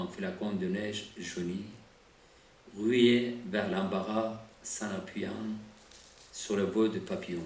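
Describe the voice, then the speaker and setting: A man with a non-native accent and a fairly low pitch speaks at a very slow pace, with audible room echo and noticeable background noise. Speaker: poet. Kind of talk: poetry reading.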